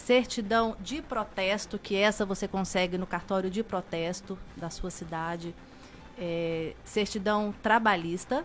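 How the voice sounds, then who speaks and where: Speaking at a fairly slow pace, a woman uses a plain, everyday voice at a medium pitch with ordinary pitch variation. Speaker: notary public (cartório) guest. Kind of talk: expert interview answer.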